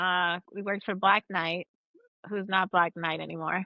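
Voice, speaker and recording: This woman speaks with an American accent at a medium pitch. Her pace is fairly slow. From Virginia (Springfield). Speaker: podcast co-host. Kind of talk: casual chat.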